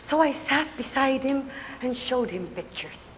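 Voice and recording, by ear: Speaking fairly slowly, a woman uses a high voice with lively intonation.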